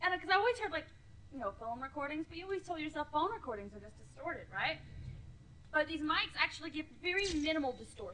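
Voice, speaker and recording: A woman's high, raised and projected voice, animated in tone, with very wide pitch swings at a fairly quick pace. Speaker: gaming video co-host. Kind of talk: casual chat.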